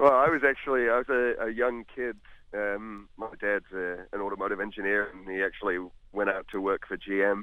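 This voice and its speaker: A man with a New Zealand accent, a fairly low pitch, fairly even intonation, and a fairly quick pace, over a quiet background. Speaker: blues musician. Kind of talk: phone interview. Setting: outdoors. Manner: casual, many fillers. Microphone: phone line, bad cell reception.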